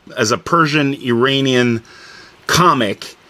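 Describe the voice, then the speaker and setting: At a fairly slow pace, a man speaks in an ordinary speaking voice with a fairly high pitch. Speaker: interviewer. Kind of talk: interview questions.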